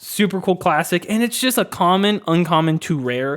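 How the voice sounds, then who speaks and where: In a very clean recording with a silent background, a man speaks at a moderate pace in an animated tone with ordinary pitch variation. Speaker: card game video creator. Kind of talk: casual commentary video.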